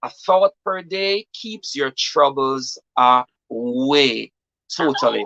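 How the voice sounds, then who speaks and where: A man's fairly high voice with a Jamaican accent, bright and sharp in tone, with lively intonation at a very slow pace, in a dry, close sound with no echo. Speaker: poet and author. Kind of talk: interview.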